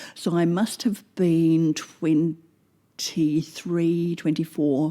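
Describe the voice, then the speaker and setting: In a New Zealand accent, a woman speaks very slowly with a dark, mellow tone, fairly low pitch and fairly even intonation, on a very clean recording with a silent background. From New Zealand, Oamaru (South Island small town). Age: 60s. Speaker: former German teacher. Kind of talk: interview. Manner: hesitant, many fillers and repetitions.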